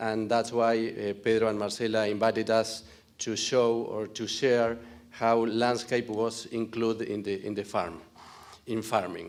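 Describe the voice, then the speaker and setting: A non-native accent in a monotone, flat intonation, with audible room echo. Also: man, medium pitch for a man. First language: Spanish. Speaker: farm owner. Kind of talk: conference presentation. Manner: halting.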